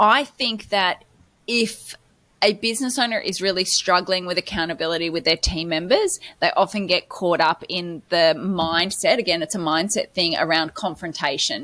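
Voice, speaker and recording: Here a woman talks at a moderate pace with a medium pitch. Her pitch varies in an ordinary way. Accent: Australian. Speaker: podcast co-host, business coach. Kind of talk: casual podcast discussion.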